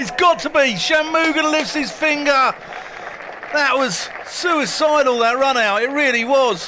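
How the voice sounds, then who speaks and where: Over noticeable background noise, a man speaks fairly slowly in a raised, projected voice that is extremely high in pitch, with ordinary pitch variation. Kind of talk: live commentary.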